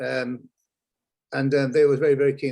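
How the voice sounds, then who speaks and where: Speaking at a fairly quick pace, a man with a northern English accent has a fairly high-pitched voice. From northern England, Lancashire near Blackpool. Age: old. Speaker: former marketing executive. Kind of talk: interview. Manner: hesitant, many fillers.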